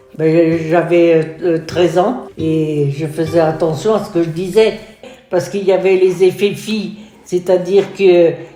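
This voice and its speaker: Fairly low-pitched woman at a fairly slow pace, with fairly even intonation, noticeable background noise and audible room echo. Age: 80s+. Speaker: nursing home resident. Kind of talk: testimony.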